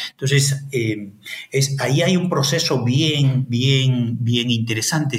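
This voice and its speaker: A man at a very slow pace, ordinary pitch variation, noticeable background noise behind him. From Peru, Ayacucho. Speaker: historian and anthropologist, professor. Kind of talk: interview. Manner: halting, many fillers and repetitions.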